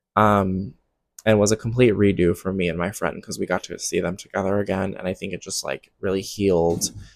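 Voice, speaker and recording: Soft-spoken and at a fairly low pitch, a man talks at a moderate pace with fairly even intonation in a very clean recording with a silent background. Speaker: music festival attendee and commentary vlogger. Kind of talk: casual talk to camera, festival commentary. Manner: soft-spoken, relaxed, conversational.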